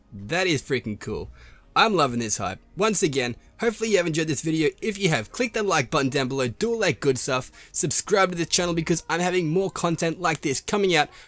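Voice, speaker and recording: Music plays behind a man whose fairly high voice carries an energetic, excited tone, lively intonation and a fairly quick pace. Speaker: gaming youtuber. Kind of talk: gameplay commentary outro.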